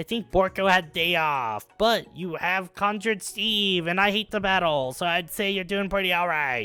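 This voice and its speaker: A man's put-on character voice, high in pitch, over faint background music. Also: moderate pace, hardly any pauses. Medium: game stream. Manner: broken, goofy grammar.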